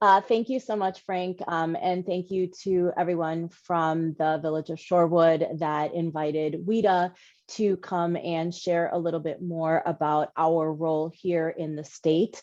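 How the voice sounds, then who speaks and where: In a New York accent, a woman talks at a fairly slow pace with hardly any pauses over a quiet background. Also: fairly low pitch for a woman, fairly even intonation. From New York City. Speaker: housing finance executive. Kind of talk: panel presentation.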